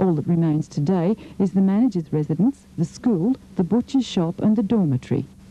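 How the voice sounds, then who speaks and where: Using a plain, everyday voice, a woman talks at a fairly quick pace with lively intonation and very even loudness. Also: fairly low pitch for a woman. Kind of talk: TV documentary narration.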